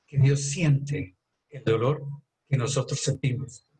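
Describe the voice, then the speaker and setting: Somewhat breathy, a man speaks fairly slowly with a fairly high pitch and fairly even intonation. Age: 70s. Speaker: doctor. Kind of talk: health talk.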